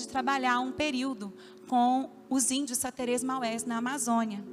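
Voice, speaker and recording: A woman speaks fairly slowly in a high voice, with audible room echo and music in the background. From Minas Gerais, Brazil (Belo Horizonte). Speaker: pastor. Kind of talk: sermon. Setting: church with congregation, livestreamed.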